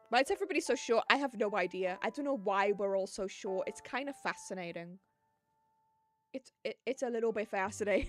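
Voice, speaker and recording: Music plays in the background as a voice with a British accent moves at a fairly quick pace, its tone animated and its intonation lively, recorded dry and close with no echo. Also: woman, fairly high pitch for a woman. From UK, not southern England. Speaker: vtuber streamer. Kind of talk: casual chat.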